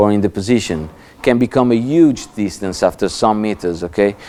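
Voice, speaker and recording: Lively intonation colors this man's dark, mellow tone as he speaks in an Italian accent. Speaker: laser safety lecturer. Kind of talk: lecture. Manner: halting, many fillers and repetitions.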